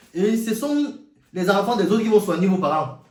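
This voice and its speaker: A man with an African accent, high in pitch, animated in tone and lively in intonation, at a moderate pace amid audible room echo. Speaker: YouTuber, commentator. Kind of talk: monologue rant.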